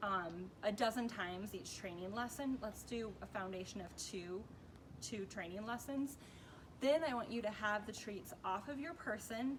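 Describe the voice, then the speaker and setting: Amid noticeable background noise and audible room echo, a woman speaks at a fairly high pitch with ordinary pitch variation. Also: moderate pace. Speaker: dog trainer. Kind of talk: tutorial. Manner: casual, conversational.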